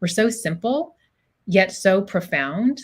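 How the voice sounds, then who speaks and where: A woman is talking. Her voice has a somewhat breathy quality. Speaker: psychologist. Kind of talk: interview conversation. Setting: podcast recording. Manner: fast.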